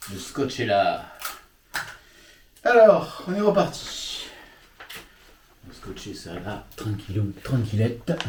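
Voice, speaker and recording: A man speaks at a very slow pace with long, frequent pauses, in a room with audible echo and noticeable background noise. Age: old. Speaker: YouTube model-railway hobbyist host. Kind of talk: reading aloud; casual chat.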